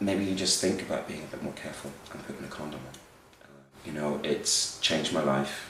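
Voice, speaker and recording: A man with a very deep, low pitch talks at a fairly quick pace with fairly even intonation over noticeable background noise. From Belfast, Northern Ireland. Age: 40s. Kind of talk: interview answer.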